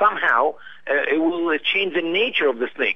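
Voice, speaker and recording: A man's fairly high voice with an Arabic accent, at a fairly quick pace. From Egypt. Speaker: missionary. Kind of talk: radio interview. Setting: internet radio show. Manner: halting, many fillers.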